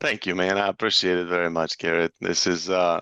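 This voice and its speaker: A man with a non-native accent speaks at a very deep, low pitch in a bright, sharp tone. The sound is dry and close with no echo over a quiet background. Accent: foreign. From former Yugoslavia. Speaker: construction estimating director. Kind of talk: podcast interview. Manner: casual, many filler words.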